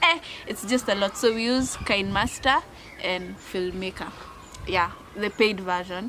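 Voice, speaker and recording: Noticeable background noise behind a woman at medium pitch, her pace fairly slow, her pauses long and frequent, her pitch variation ordinary. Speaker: YouTuber. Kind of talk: casual chat. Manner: code-switching English and Swahili.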